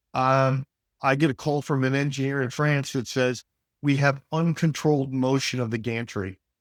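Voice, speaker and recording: A man speaks in a plain, everyday voice at a fairly high pitch, moderate pace and fairly even intonation, in a very clean, dry, close recording with no echo and a silent background. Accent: American. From US Midwest, Detroit. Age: 60s. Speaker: business executive. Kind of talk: interview conversation. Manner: many fillers and repetitions.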